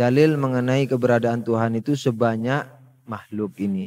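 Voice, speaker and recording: A man's medium-pitched voice, fairly slow in pace, with ordinary pitch variation. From Madura, Indonesia. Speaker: Islamic religious teacher. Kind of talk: religious lecture. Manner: conversational, with filler hesitations.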